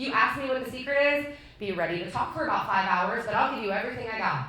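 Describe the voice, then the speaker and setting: Over noticeable background noise and audible room echo, a woman talks in an animated tone with a high pitch and ordinary pitch variation. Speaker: real estate agent and team lead. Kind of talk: talk to an audience.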